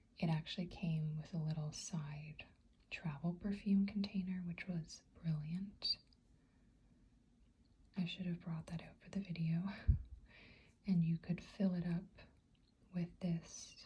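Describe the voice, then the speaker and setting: Soft-spoken and at a fairly slow pace, the voice pauses often and at length. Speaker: ASMR artist and hypnotherapist. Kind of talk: ASMR soft-spoken product review.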